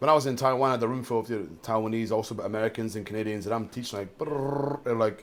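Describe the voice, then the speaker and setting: With a strong Scottish accent, a man speaks at a very fast pace with hardly any pauses. His pitch is medium, and there is noticeable background noise. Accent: thick Scottish. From Scotland, Dunfermline (Fife). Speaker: jiu-jitsu coach. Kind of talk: casual podcast interview. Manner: animated.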